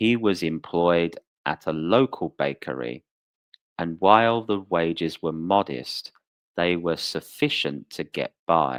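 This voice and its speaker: A man's very deep, low voice with lively intonation at a very slow pace, on a very clean recording with a silent background. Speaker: English teacher. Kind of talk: story reading. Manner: slow, clear.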